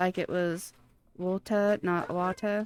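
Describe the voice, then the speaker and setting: A woman at medium pitch speaks in a monotone, flat way, recorded very cleanly with a silent background. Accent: American. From US Pacific Northwest. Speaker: streamer. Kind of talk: casual chat.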